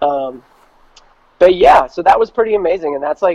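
At a fairly quick pace, a man with an American accent speaks with ordinary pitch variation. The sound is dry and close with no echo. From New York and New Jersey. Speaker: independent singer and producer. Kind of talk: casual interview chat. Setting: remote call.

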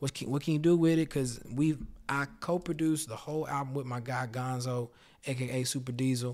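In a very clean recording with a silent background, a man with an American accent talks fairly quickly in an ordinary speaking voice, medium in pitch and with fairly even intonation. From Houston, Texas. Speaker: musician and rapper guest. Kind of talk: casual interview chat.

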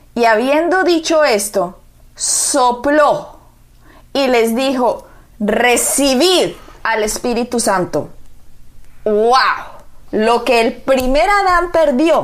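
Speech comes at a very slow pace, broken by long, frequent pauses. The tone is warm and the loudness very even. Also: woman, high pitch for a woman. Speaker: pastor. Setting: radio or TV program. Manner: earnest, fervent, solemn, declamatory; warm, emphatic, pastoral.

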